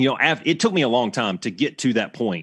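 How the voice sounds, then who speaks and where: Southern US accent from a man, very clean recording, silent background. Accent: Southern American. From US South, Alabama. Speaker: retired fighter pilot instructor. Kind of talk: podcast interview. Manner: casual, halting with restarts.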